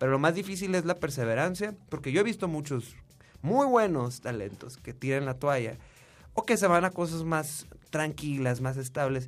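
A man with a northern Mexican accent, lively intonation and a moderate pace. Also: fairly high pitch for a man. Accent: northern Mexican (Sonora). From Hermosillo, Sonora, northern Mexico. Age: 30s. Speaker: musician. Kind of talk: interview.

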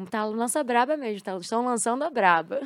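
On a very clean recording with a silent background, a woman talks at a moderate pace in a fairly high pitch, with a plain, everyday voice. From Rio de Janeiro, Brazil (Botafogo). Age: 20s. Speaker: esports team CEO and former pro gamer. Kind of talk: casual interview. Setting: studio.

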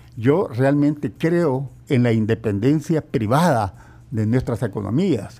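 A man's dark, mellow, medium-pitched voice at a very slow pace, with hardly any pauses, lively intonation and very even loudness. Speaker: economist and trade consultant. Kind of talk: radio interview.

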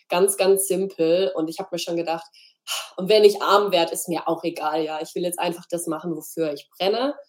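An unremarkable speaking voice, a woman's, fairly low and fairly even in intonation, at a moderate pace with big swings in loudness. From Freiburg, southwestern Germany. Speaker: graphic designer. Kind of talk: interview.

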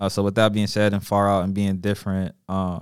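Recorded very cleanly against a silent background, a plain, everyday voice with an American accent speaks at a moderate pace. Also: man. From Charlotte, North Carolina. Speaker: podcast host. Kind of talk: casual chat. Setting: studio.

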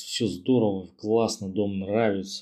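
A man's ordinary speaking voice at fairly low pitch, with fairly even intonation and a fairly slow pace. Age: 30s. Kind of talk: recorded personal story.

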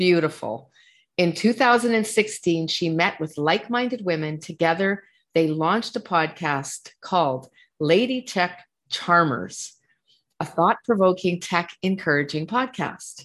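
Against a quiet background, a woman speaks at a fairly slow pace. Her pitch is fairly low and her intonation lively. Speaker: podcast host. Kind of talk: interview conversation. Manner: effusive, enthusiastic.

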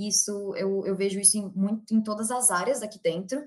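A somewhat breathy woman speaks at a fairly slow pace and a medium pitch. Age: 20s. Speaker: employer branding analyst. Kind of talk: interview.

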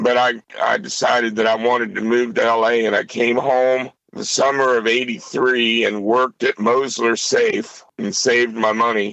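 With an American accent and a bright, sharp tone, the voice moves at a fairly slow pace with fairly even intonation and hardly any pauses. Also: man, medium pitch for a man. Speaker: blues guitarist. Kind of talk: casual chat. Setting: phone call.

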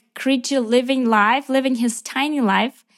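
Fairly slow speech with ordinary pitch variation, in a Ukrainian accent. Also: woman. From Ukraine. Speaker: missionary. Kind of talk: interview. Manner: animated.

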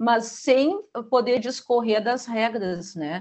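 This woman has a high pitch. She speaks at a very slow pace. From Rio Grande do Sul, Brazil. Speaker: school teaching coordinator. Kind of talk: interview.

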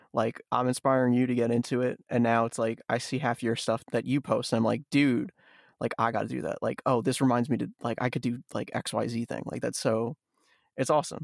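An unremarkable speaking voice moves at a fairly quick pace with fairly even intonation. The recording is very clean, dry and close with no echo, over a silent background. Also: man, medium pitch for a man. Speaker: podcast host. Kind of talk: casual interview chat. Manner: casual, laughs often.

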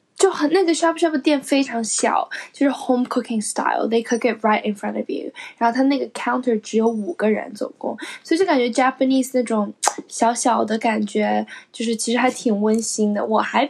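A woman's unremarkable speaking voice, fairly high-pitched, with ordinary pitch variation at a moderate pace. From China. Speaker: podcast co-host, recent graduate. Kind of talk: casual chat. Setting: at home.

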